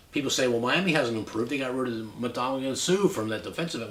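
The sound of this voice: In a room with audible echo, a man at medium pitch talks at a fast pace with a fairly bright tone.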